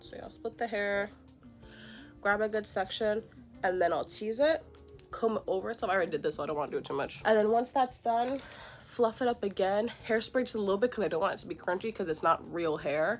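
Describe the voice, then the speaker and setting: Fairly quick speech from a woman at medium pitch, ordinary pitch variation, music in the background. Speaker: beauty vlogger. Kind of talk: tutorial. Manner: casual.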